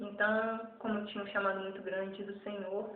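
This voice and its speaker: A woman speaks in a flat, monotone way, and the room echo is audible. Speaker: evangelist. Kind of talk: testimony.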